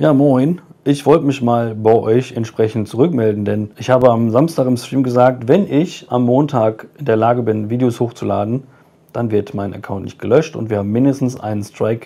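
With a dark, mellow tone, a man talks at a moderate pace with ordinary pitch variation. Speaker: streamer giving channel update. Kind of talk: casual vlog chat. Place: home room. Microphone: phone near.

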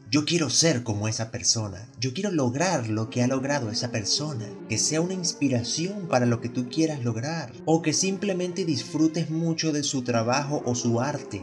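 A man's fairly high voice with lively intonation, music in the background. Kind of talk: casual humorous commentary to camera.

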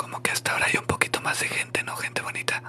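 A man whispering at a very fast pace. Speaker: live streamer. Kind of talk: casual live stream chat. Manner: soft close-mic ASMR murmur. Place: home room. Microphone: studio mic.

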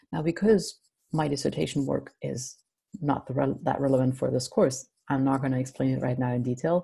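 A woman speaks at a fairly quick pace in a very deep, low pitch, her dark, mellow tone touched with vocal fry against a quiet background. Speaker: university lecturer. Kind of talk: lecture. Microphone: webcam.

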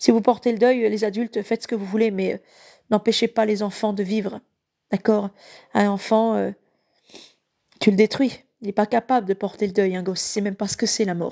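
A woman with a fairly high pitch and a dark, mellow tone speaks in a flat monotone at a moderate pace with long, frequent pauses, on a very clean, dry, close recording with a silent background and no echo. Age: 30s. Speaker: evangelical live preacher. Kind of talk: live Bible teaching; personal testimony. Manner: halting.

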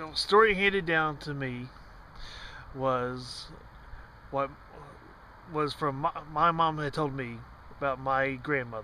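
Over light background noise, a man speaks at a fairly slow pace with long, frequent pauses, ordinary pitch variation and a dry sound with no echo. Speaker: storyteller. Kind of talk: casual vlog chat, telling a story. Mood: quiet, reflective storytelling. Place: car. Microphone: phone near.

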